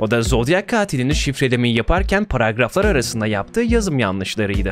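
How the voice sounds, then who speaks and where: A man talks at a fairly quick pace against light background noise, with a dry sound and no echo. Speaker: true-crime YouTuber. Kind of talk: commentary narration. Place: home room. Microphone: studio mic.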